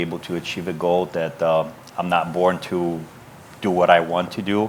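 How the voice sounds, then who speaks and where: A man with a non-native accent talks fairly quickly in a very deep, low voice amid noticeable background noise. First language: not English. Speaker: business owner. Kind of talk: panel discussion.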